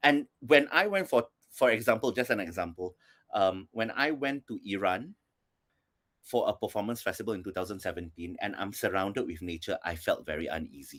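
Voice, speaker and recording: On a very clean recording with a silent background, a normal speaking voice moves at a fairly quick pace with lively intonation. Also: man, fairly low pitch for a man. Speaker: performance artist. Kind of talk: panel discussion.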